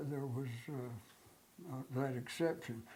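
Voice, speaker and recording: A man's medium-pitched voice with a dark, mellow tone and audible room echo. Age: 90s. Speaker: war veteran. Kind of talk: oral history interview. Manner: halting, many fillers.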